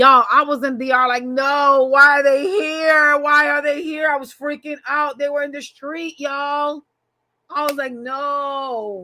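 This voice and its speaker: With a New York accent, a woman talks at a fairly slow pace in a high, raised, projected voice whose tone is animated, bright and sharp. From New York City, Manhattan. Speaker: tarot reader. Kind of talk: casual chat.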